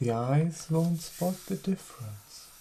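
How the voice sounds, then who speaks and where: Over noticeable background noise, the speaker talks at a very slow pace in a gentle tone. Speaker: tech reviewer making ASMR storytelling video. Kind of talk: ASMR storytelling review, sleep-style story. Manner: gentle, slow, relaxing.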